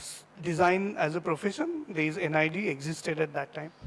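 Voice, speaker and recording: A man talks with a Marathi accent. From India, Maharashtra (near Nagpur). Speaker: designer giving a guest talk. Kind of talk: talk to students. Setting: stage with audience. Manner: halting, many fillers.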